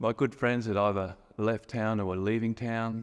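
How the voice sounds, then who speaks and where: The speaker has an Australian accent and fairly even intonation. The pace is fairly slow. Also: man. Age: 50s. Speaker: storyteller sharing a personal memory. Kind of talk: personal testimony. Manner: casual with hesitations.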